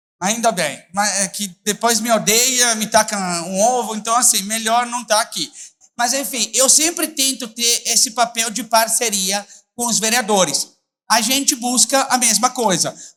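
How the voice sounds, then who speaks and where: A man with an Italian accent uses a raised, projected voice at an extremely high pitch, bright and sharp in tone. He speaks at a fairly slow pace with ordinary pitch variation. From Italy. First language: Italian (speaking Portuguese). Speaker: public prosecutor and lecturer. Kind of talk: conference talk. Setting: stage with audience. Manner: mumbled speech.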